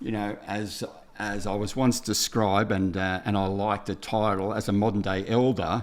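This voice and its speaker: The man speaks in a flat monotone with an Australian accent. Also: fairly low pitch for a man, moderate pace. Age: 60s. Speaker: builder, TV presenter and speaker. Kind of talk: podcast interview. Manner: halting.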